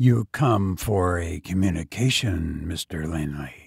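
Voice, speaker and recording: A man's raspy, put-on character voice, very deep and low, at a fairly slow pace in a very clean recording with a silent background. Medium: read story. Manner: dry, businesslike, indifferent.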